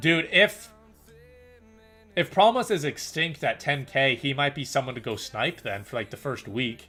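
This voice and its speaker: A man's voice with music in the background. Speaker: gaming streamer. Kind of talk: live stream commentary. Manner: casual, rambling; stuttering, repeats words.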